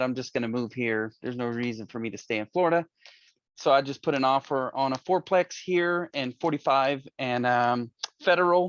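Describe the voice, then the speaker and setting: A man with a Southern US accent at a medium pitch and a moderate pace, with ordinary pitch variation, in a dry, close sound with no echo against a quiet background. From Louisiana, US South. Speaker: board candidate. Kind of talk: community board meeting.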